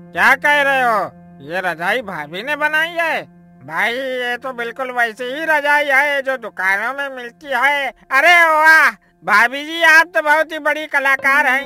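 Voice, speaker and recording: A cartoonish character voice moves at a moderate pace with faint music in the background. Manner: warm, enthusiastic.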